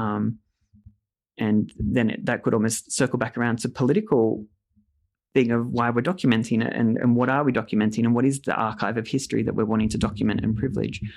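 A man with an Australian accent talks at a very fast pace against a quiet background. His medium-pitched voice has vocal fry and fairly even intonation. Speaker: narrative therapy clinician. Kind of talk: interview.

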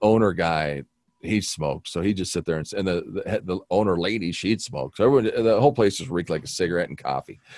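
Very deep and low in pitch, a man talks at a very fast pace with vocal fry and lively intonation. The recording is very clean, with a silent background. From Wyoming (Buffalo), raised partly in Las Vegas. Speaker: television news director. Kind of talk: casual chat.

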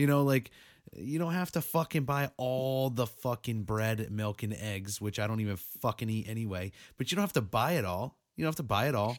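Here is a man with a New England accent. His intonation is lively. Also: medium pitch for a man. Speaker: podcast host. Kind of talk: casual banter, profane. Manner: rambling, joking, profane.

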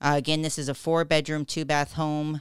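At a moderate pace, the speech comes through as a very clean recording with a silent background. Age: 40s. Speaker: real estate agent. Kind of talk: radio talk show. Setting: radio studio.

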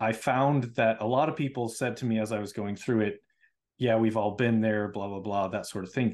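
The speaker is a man with a plain, everyday voice at a medium pitch. He keeps a moderate pace and fairly even intonation. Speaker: podcast host. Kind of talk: interview.

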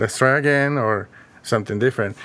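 In a Spanish accent, a man talks at a fairly quick pace with ordinary pitch variation, on a very clean recording with a silent background. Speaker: counselor and educator. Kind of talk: interview conversation.

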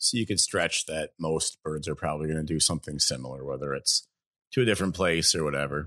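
Very deep and low in pitch, a man talks at a very fast pace with vocal fry and a bright, sharp tone. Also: ordinary pitch variation. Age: 40s. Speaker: podcast host, duck hunter and wildlife photographer. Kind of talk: casual chat. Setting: home basement recording.

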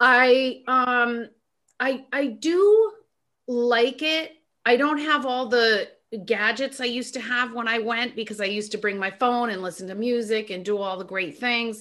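The voice has a bright, sharp tone. Its pitch varies in an ordinary way. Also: woman, high pitch for a woman. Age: 50s. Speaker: author and talk radio host. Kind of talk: casual chat.

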